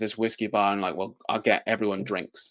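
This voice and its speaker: A man with a Welsh accent talks at a very fast pace, his fairly low voice bright and sharp in tone. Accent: unique Welsh. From Wales. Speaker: magic company executive. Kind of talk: casual interview chat.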